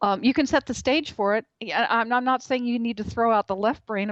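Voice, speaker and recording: Dry and close with no echo, the clip features a woman with an unremarkable speaking voice. She talks at a fairly high pitch and a fairly quick pace. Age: 60s. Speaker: author and journalist. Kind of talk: interview. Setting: radio show.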